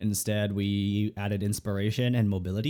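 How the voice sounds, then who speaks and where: A man talks at a fairly quick pace and fairly low pitch. His tone is dark and mellow. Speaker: gaming streamer and VTuber. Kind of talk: gameplay build commentary. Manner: fast.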